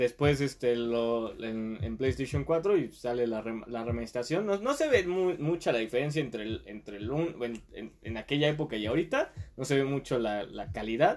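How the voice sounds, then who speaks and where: A man with a Mexican accent speaks at medium pitch and a moderate pace. His intonation is lively, with hardly any pauses. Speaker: podcast guest. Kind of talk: casual chat.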